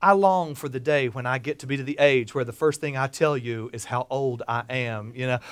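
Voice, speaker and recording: With a South Carolina accent, a man talks at a moderate pace in a bright, sharp, animated tone, the very clean recording dry and close with no echo and a silent background. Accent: US Southern (South Carolina). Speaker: storyteller. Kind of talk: live personal storytelling performance to an audience, with quoted character dialogue. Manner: animated, comic timing with pauses for laughs; folksy conversational asides to the listeners.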